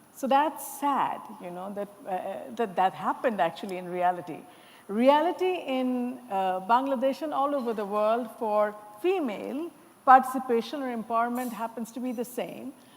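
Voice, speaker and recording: A woman's high-pitched voice at a moderate pace, with very wide pitch swings and big swings in loudness. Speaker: panel moderator. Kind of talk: panel discussion moderation. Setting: conference stage with audience.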